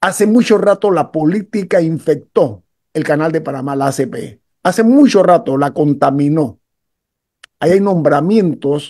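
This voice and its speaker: Against a quiet background, a man with a high pitch and a dark, mellow tone speaks with lively intonation. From Panama. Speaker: radio host. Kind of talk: radio talk show. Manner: emphatic. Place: home room. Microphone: video call.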